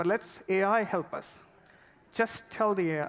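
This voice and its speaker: Intonation is lively as the man talks. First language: not English. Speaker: product manager. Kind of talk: conference talk. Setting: stage with audience.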